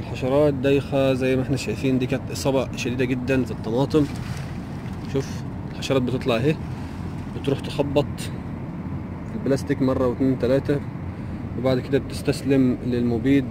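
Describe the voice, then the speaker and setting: Over noticeable background noise, a man talks at a moderate pace with long, frequent pauses, the sound dry and without echo. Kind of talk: tutorial. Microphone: phone near.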